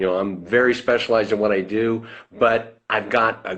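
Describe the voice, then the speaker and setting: A man of medium pitch in a normal speaking voice, at a moderate pace. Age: 60s. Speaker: financial services business owner. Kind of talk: interview. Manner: conversational.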